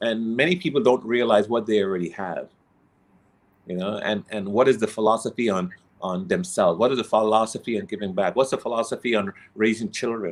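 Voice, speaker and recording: With an ordinary speaking voice, this man talks at a fairly quick pace, his medium pitch showing ordinary variation. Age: 60s. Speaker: inspirational coach. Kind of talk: interview.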